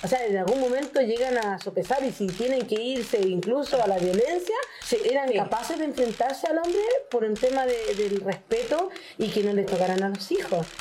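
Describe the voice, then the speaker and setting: Over noticeable background noise, a woman speaks at a fairly high pitch and moderate pace, her intonation lively and her loudness very even. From northern Chile (Arica). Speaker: Afro-Chilean community member. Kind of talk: casual chat.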